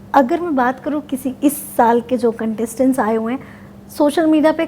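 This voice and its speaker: A woman has a high pitch and ordinary pitch variation. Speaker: interviewer.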